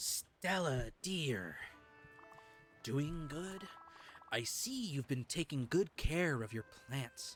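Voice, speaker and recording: A put-on character voice at a low-to-middle pitch, very slow pace with long, frequent pauses, faint music in the background. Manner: playful.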